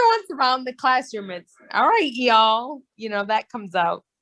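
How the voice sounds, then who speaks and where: Speaking at a fairly quick pace with an American accent, a woman uses a high pitch and big swings in loudness. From northern US. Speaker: teacher. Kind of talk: casual chat.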